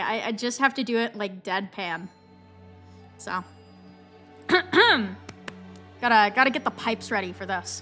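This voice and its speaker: Music plays behind a woman speaking at a fairly slow pace with lively intonation. She leaves long, frequent pauses. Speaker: streamer. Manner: casual, rambling.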